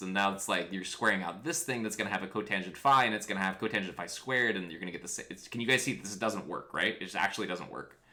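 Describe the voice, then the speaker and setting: A man talks at a very fast pace in an animated tone with ordinary pitch variation. Noticeable background noise and audible room echo fill the recording. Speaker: physics teacher. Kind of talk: lecture. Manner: casual, animated.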